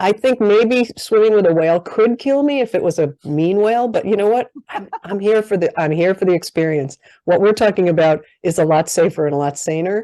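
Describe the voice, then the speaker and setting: A woman's dark, mellow voice at a fairly quick pace, lively in intonation, with hardly any pauses and a quiet background. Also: medium pitch for a woman. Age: 60s. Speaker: life coach, podcast host. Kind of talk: interview podcast.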